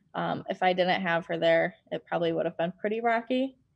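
A normal speaking voice from a woman at medium pitch with an American accent, at a moderate pace against a quiet background. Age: 20s. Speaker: realtor. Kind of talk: interview.

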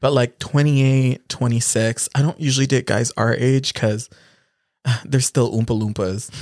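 Using a plain, everyday voice, a man speaks at a moderate pace and medium pitch with fairly even intonation, the sound dry and close with no echo. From Philippines, raised in Canada. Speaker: podcast co-host. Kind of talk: casual chat. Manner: silly, joking.

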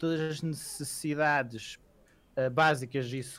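A man's medium-pitched voice with a European Portuguese accent and monotone, flat intonation. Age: 20s. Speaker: podcast co-host. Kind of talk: casual chat.

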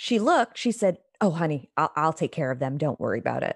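Her voice swinging very widely in pitch, a woman speaks with an American accent and vocal fry. The sound is dry and close, with no echo. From United States. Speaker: podcast host. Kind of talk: casual chat.

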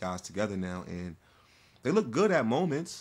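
An unremarkable speaking voice from a man, fairly low in pitch, at a moderate pace, on a very clean recording with a silent background. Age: 30s. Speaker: former basketball player and youth coach. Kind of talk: casual chat.

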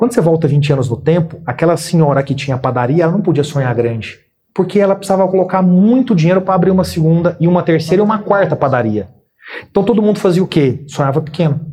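The speech is very fast, with lively intonation and very even loudness. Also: man, high pitch for a man. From Brazil, Minas Gerais (Uberaba). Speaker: business executive and author. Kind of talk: interview.

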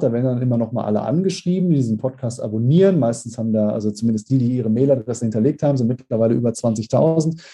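Very fast and somewhat breathy, a man's dark, mellow voice moves with ordinary pitch variation. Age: 40s. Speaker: speaker agency owner and sales consultant. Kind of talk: podcast interview.

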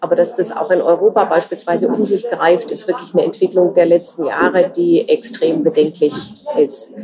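Noticeable background noise fills the recording. Her pace is moderate as the woman talks. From Germany. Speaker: journalist. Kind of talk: interview.

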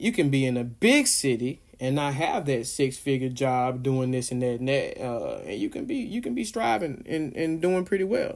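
Speaking in an American accent, a man sounds animated, with lively intonation and hardly any pauses. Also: fairly high pitch for a man, moderate pace. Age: 30s. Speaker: podcast host, small business owner. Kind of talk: solo casual monologue.

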